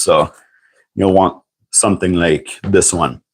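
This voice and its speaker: In a very clean recording with a silent background, a man with a French accent talks at a fairly slow pace and a fairly low pitch. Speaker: tool reviewer and licensed mechanic. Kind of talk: casual livestream talk. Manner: halting, many fillers.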